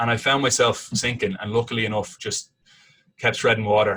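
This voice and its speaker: Someone with an Irish accent talks at a very fast pace. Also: man. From Ireland, Dublin. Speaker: sports commentator and TV host. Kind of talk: casual interview. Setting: podcast interview. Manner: animated storytelling with frequent repetitions.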